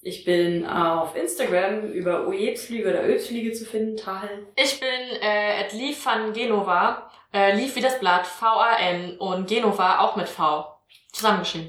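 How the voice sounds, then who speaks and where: A woman's fairly high, fairly slow voice with ordinary pitch variation and audible room echo. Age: 30s. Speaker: tabletop role-playing player, comic artist. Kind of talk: tabletop role-playing session, casual chat.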